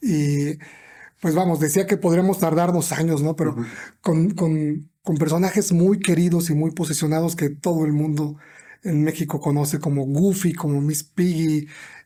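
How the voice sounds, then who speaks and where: A man's fairly high, dark, mellow voice at a fairly slow pace, with fairly even intonation and very even loudness, on a very clean recording with a silent background. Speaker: podcast host. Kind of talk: podcast interview host.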